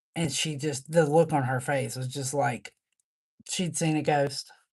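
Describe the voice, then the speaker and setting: Against a quiet background, a woman talks at a very slow pace with a very deep, low pitch. Her intonation stays fairly even, broken by long, frequent pauses. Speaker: livestreamer reading own poems. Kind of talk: casual livestream chat. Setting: live stream. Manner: halting.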